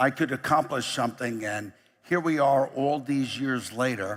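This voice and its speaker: A man with a New York accent speaks at medium pitch and a fairly slow pace. His pitch varies in an ordinary way, and the recording is very clean with a silent background. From US, New York. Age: 60s. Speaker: company chief executive. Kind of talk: keynote speech. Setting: stage with audience.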